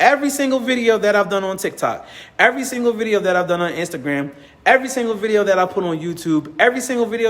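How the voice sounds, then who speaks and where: Noticeable background noise sits under a voice that sounds animated. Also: man. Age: 30s. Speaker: business community organizer and content creator. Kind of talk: motivational talk to camera.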